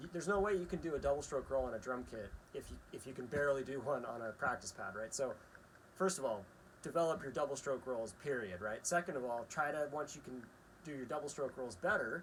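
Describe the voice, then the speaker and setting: At a very fast pace, a man talks with lively intonation in a fairly high pitch. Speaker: drum teacher. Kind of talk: tutorial. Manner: casual, frequent filler 'right?'.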